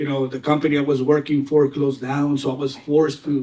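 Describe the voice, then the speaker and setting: A man with a Mexican accent speaks at a fairly quick pace in a fairly high pitch with a dark, mellow tone. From Mexico (Tijuana), moved to US at twelve. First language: Spanish. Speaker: real estate agent. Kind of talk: panel talk at seminar.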